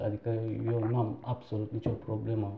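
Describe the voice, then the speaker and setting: A man is speaking. He has a Turkish accent. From Turkey, Istanbul. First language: Turkish (speaking Romanian). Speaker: entrepreneur, shop owner. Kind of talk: interview.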